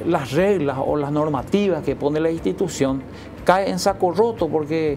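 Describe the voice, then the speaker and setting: Noticeable background noise fills the recording. A woman talks over it. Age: 60s. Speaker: educator. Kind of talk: TV interview. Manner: halting.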